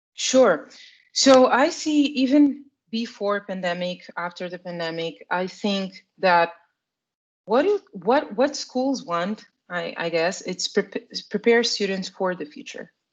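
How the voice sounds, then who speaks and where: Speaking at a very slow pace, a woman with a Portuguese accent keeps a medium pitch. Her intonation is lively, with big swings in loudness. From Portugal. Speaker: product marketing manager in education tech. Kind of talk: interview. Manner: halting, with frequent repetitions.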